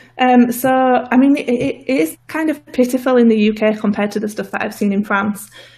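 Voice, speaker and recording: A woman speaks with a northern English accent. Her voice is somewhat breathy, fairly quick, with ordinary pitch variation. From northern England. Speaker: political activist guest. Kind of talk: interview. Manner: hesitant, many fillers.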